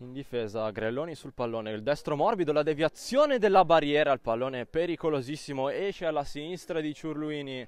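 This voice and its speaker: Animated tone with very wide pitch swings at a fairly quick pace. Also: man. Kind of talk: sports commentary. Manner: rapid-fire, breathless play-by-play delivery, clipped phrases; animated, rising excitement on near misses and goals.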